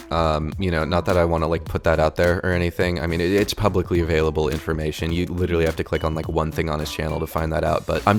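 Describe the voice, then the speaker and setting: Soft-spoken and very fast, a man with a very deep, low pitch talks over music in the background. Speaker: YouTube commentator. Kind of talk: commentary video. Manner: soft-spoken, talking quietly; halting, repeats words.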